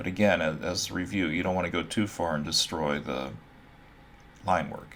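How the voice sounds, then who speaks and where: In a room with audible echo, a man with a very deep, low voice and vocal fry speaks with ordinary pitch variation. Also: moderate pace. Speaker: art instructor. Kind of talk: tutorial. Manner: casual, with fillers.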